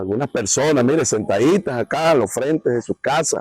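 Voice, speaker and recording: A man's plain, everyday voice, fairly high in pitch, with lively intonation, a fairly quick pace and a dry, close sound with no echo. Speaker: TV program host. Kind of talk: on-location travel presenting.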